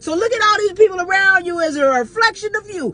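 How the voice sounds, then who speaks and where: Raised and projected, a woman's voice carries an animated tone with ordinary pitch variation. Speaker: podcast host. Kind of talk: motivational monologue. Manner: loud.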